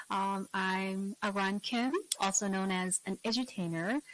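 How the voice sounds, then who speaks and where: A woman's medium-pitched voice with a Korean accent and ordinary pitch variation, in a dry, close sound with no echo. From South Korea. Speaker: English teacher and YouTuber. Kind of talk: interview. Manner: animated.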